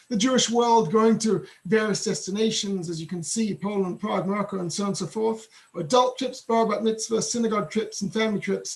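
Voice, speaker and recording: The speaker has an English accent and a fairly quick pace. Intonation stays fairly even, with noticeable background noise. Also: man, high pitch for a man. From England. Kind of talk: webinar presentation. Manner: fast.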